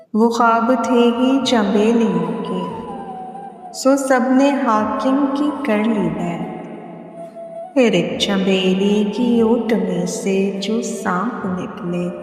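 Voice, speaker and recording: Music plays in the background. A woman speaks at a fairly high pitch with ordinary pitch variation. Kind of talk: poetry reading. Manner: emotional.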